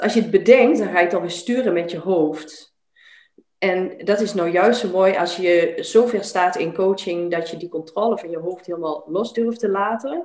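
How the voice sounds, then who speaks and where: At a moderate pace, a woman with medium pitch and ordinary pitch variation uses an ordinary speaking voice. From Netherlands, Twente (Enschede). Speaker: life coach. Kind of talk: interview conversation.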